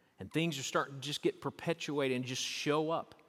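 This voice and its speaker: The speaker has a Southern US accent. The sound is dry and close with no echo, a very clean recording over a silent background. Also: man. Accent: Southern US, noticeable. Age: 50s. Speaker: pastor. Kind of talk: sermon. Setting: church.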